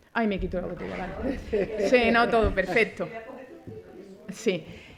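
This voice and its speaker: A woman with a medium pitch and fairly even intonation, with audible room echo and noticeable background noise. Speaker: forensic doctor. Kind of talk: conference talk. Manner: fast.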